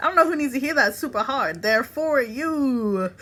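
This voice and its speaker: A woman uses a raised, projected voice that is high, bright and sharp. She speaks at a moderate pace with very wide pitch swings. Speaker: tarot reader. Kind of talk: tarot reading. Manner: casual, animated.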